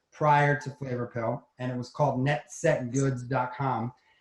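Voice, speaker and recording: Delivered in a New York accent, the voice holds a monotone, flat intonation. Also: man. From New York City, Manhattan. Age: 50s. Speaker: entrepreneur. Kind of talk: interview.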